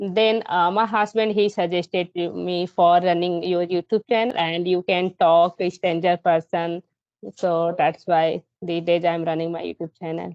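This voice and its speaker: A woman's fairly low, monotone, flat voice at a fairly slow pace. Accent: Indian. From India. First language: Hindi. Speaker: primary school teacher and English learner. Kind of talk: casual conversation. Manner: halting.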